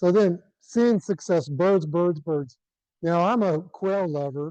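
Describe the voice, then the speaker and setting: In a Texan accent, a man with a high pitch and a dark, mellow tone speaks at a very slow pace, his pitch varying in an ordinary way. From South Central Texas. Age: 60s. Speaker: retired rancher and conservationist. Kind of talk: presentation. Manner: animated.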